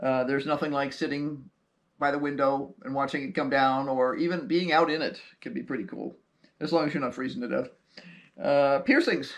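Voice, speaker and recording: This is an ordinary speaking voice from a man at a fairly high pitch. He speaks at a fairly quick pace with ordinary pitch variation. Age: 60s. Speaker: homesteading YouTuber. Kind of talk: casual chat.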